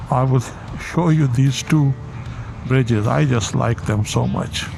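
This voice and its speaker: With noticeable background noise behind him, a man of medium pitch speaks at a fairly slow pace, with ordinary pitch variation and very even loudness. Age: 60s. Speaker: vlogger, accountant. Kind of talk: casual vlog monologue. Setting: riding a motorcycle on the highway. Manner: relaxed, with frequent fillers.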